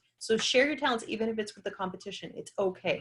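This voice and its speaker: A woman talks with a bright, sharp tone. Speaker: chiropractor and wellness speaker. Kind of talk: webinar presentation. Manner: fast; animated.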